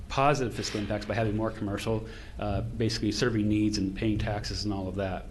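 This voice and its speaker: Music plays in the background as a man speaks at a fairly quick pace. His pitch is fairly low, and audible room echo surrounds him. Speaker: consultant presenting to county commissioners. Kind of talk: public meeting presentation. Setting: county commission meeting. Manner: fast; animated.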